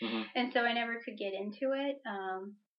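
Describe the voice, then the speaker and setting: A woman with a fairly high pitch, an ordinary speaking voice, and a moderate pace. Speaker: podcast co-host.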